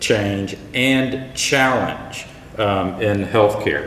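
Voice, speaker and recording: Noticeable background noise and audible room echo surround a very slow speaker with a Texan accent. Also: man. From Texas, Houston area. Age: middle-aged. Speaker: health insurance executive. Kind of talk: keynote speech.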